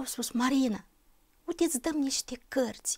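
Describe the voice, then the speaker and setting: A woman's high pitch with ordinary pitch variation, in a quiet background. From Moldova (Bessarabia); Moldova. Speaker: church member giving testimony; interview guest. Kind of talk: testimony. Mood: calm, earnest, reflective. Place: studio. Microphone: lapel.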